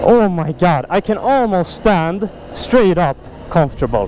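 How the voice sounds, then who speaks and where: A man speaks with a Swedish accent. Background noise is noticeable. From Sweden, Stockholm. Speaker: motorcycle vlogger. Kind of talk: casual vlog talk to camera. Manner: enthusiastic.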